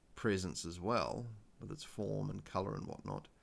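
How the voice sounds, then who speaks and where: A man with a New Zealand accent, a very deep, low pitch, vocal fry, ordinary pitch variation and a moderate pace. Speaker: spiritual livestreamer. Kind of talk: casual live stream chat. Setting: live stream. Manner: halting, many fillers.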